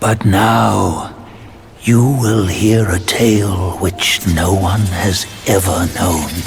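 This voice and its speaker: A man uses a put-on character voice, very deep and low in pitch. He speaks at a very slow pace over clear background noise. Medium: video game. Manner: slow, mysterious.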